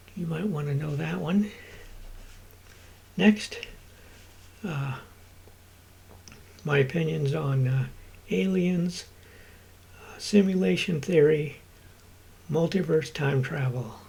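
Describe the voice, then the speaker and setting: This man's voice is dark and mellow, fairly high in pitch, with lively intonation and big swings in loudness. He talks at a very slow pace, leaving long, frequent pauses. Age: 60s. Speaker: vlogger and rideshare driver. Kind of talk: casual vlog monologue. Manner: halting, many fillers.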